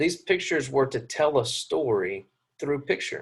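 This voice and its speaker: A man's somewhat breathy voice moves along at a moderate pace. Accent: Southern US. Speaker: Bible class teacher. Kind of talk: lecture. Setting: classroom.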